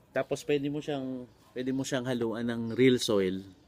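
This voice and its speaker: With fairly even intonation, this man's voice stays at a medium pitch. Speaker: vlogger and voice coach. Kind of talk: casual vlog tutorial. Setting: outdoors in a garden.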